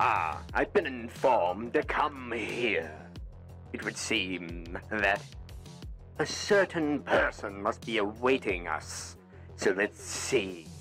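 A man puts on a character voice at a very slow pace, his pitch fairly low, with clear music playing in the background. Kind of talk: in-character voice trolling in a social VR game.

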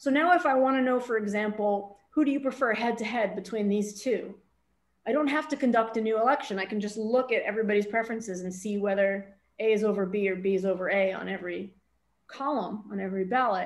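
The speech moves at a very fast pace. Its pitch varies in an ordinary way. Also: woman, fairly high pitch for a woman. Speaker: math professor. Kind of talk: lecture. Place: home room. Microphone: webcam.

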